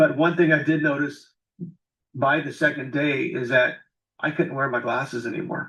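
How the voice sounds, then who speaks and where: With a fairly high pitch and a bright, sharp tone, a man speaks in fairly even intonation, leaving long, frequent pauses. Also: moderate pace. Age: 70s. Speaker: wellness product brand partner interviewing an expert. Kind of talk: casual interview.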